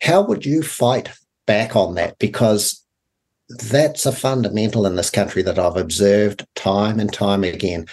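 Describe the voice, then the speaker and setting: Man with a New Zealand accent, fairly low pitch and ordinary pitch variation, at a fairly slow pace. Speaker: radio host, former farm leader. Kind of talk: radio interview. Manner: halting.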